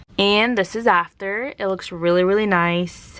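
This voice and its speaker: Using a normal speaking voice, a woman speaks at a fairly slow pace and medium pitch, with ordinary pitch variation. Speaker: craft youtuber. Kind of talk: tutorial. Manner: casual.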